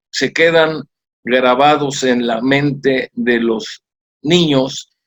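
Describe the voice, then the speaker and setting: Very slow and fairly even in intonation, a man talks at medium pitch in a dry, close sound with no echo. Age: 70s. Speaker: former mayor and civil engineer. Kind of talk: interview.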